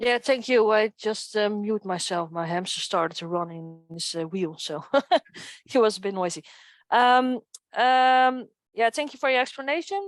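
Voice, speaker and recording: Against a quiet background, a woman speaks at a moderate pace in a fairly high pitch with lively intonation. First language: not English. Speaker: community member. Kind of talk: online community meeting. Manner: halting.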